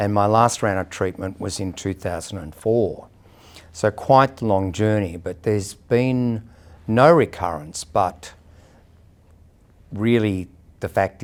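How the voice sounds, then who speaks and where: With an Australian accent, a man talks at a fairly slow pace with ordinary pitch variation. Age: 60s. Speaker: person living with HIV sharing experience. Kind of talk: personal testimony interview. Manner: hesitant, with frequent fillers.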